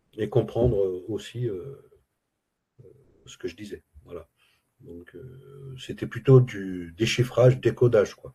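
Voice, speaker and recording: A man speaks very slowly at a medium pitch with a dark, mellow, somewhat breathy tone, ordinary pitch variation, big swings in loudness, and long, frequent pauses. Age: 60s. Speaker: retired Arabic language student. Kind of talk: interview testimony. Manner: halting, many hesitations.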